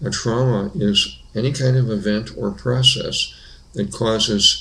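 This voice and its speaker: A man talks at a fairly slow pace. Room echo is audible around his voice. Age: 70s. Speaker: family therapist. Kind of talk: explanatory talk.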